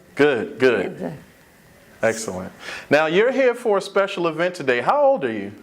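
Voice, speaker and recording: Over noticeable background noise, a man with a fairly high pitch and very wide pitch swings speaks at a moderate pace with long, frequent pauses. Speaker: oral history interviewer.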